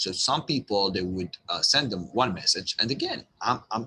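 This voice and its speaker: In a strong non-native accent, a man with a bright, sharp tone talks at a moderate pace against a quiet background. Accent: thick non-native. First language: not English. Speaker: online business coach. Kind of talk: tutorial. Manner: halting, repeats words.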